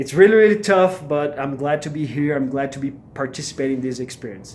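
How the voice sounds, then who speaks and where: A man with a Brazilian Portuguese accent and ordinary pitch variation. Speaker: MBA student vlogger. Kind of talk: casual vlog. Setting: at home. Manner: hesitant, many fillers.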